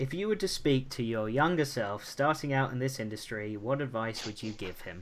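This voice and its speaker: With an American accent, a man speaks at a moderate pace and medium pitch, using lively intonation and hardly any pauses, in an ordinary speaking voice. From USA. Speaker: podcast host. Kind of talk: podcast interview.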